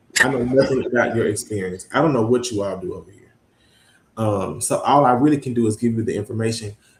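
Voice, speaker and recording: A man with a Mississippi Delta accent talks at a very fast pace, his medium-pitched, somewhat breathy voice keeping fairly even intonation while its loudness swings widely. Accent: Southern US, Mississippi Delta. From Mississippi Delta, US South (Greenwood). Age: 20s. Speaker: student affairs administrator. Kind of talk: interview. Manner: frequent filler ums.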